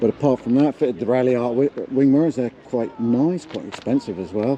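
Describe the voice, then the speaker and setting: A quiet man talks at a moderate pace and medium pitch over noticeable background noise. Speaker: car vlogger. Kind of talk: casual vlog commentary. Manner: hesitant, many fillers.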